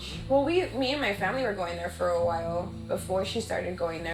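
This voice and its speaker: A woman rushes through her words at a very fast pace while noticeable background noise plays behind her. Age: 30s. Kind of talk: documentary interview answer. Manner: hesitant.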